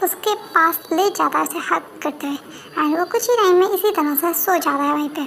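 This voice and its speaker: A woman with an extremely high pitch and a fairly quick pace, over clear background noise. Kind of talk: casual Hinglish story recap. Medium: read story. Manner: informal, repetitive fillers, self-correcting.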